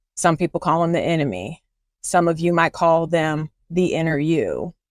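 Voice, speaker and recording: In a Southern US accent, a woman speaks in a dry, close recording with no echo. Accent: Southern twang. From US South, Columbia, South Carolina. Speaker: faith-based life coach and podcast host. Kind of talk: podcast monologue, faith teaching. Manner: casual, conversational with fillers.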